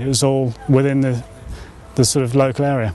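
Music plays behind a dry recording with no echo. The speech moves at a fairly quick pace with fairly even intonation. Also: man. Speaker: site owner or host. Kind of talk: interview answer. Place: open country. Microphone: lapel.

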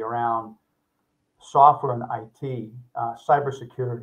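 A man with an American accent and monotone, flat intonation, over a quiet background. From US Northeast. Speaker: home services company CEO; guest. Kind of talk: interview. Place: office.

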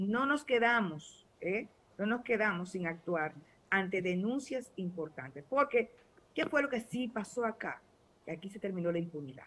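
A woman of medium pitch speaks at a moderate pace with lively intonation. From Dominican Republic. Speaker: ruling party official; guest. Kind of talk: political debate panel. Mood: assertive, argumentative. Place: home room. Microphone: video call.

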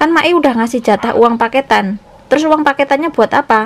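A woman's high-pitched voice at a fairly quick pace, with ordinary pitch variation.

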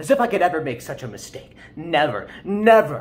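A man's high-pitched voice moves at a moderate pace. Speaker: amateur actor. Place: kitchen. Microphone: phone near.

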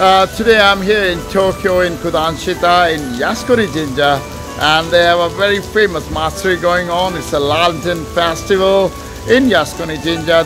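At a moderate pace, the voice is heard with clear music in the background. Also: man. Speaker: travel vlogger. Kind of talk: casual vlog chat. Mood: cheerful despite weather. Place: street. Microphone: phone near.

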